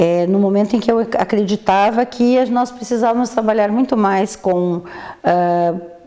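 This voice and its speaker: A woman with a fairly high pitch speaks at a moderate pace, keeping her intonation fairly even and her loudness very even, with noticeable background noise behind her. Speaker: physician. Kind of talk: interview. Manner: halting.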